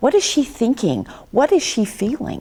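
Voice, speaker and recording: A woman talks at a fairly slow pace, with vocal fry. Her pitch swings very widely. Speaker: talk show host. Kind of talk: interview talk.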